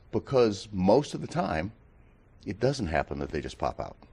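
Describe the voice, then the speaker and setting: A man's voice carries vocal fry and very wide pitch swings at a moderate pace. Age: 70s. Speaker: mountain rescue volunteer. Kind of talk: interview. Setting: TV studio.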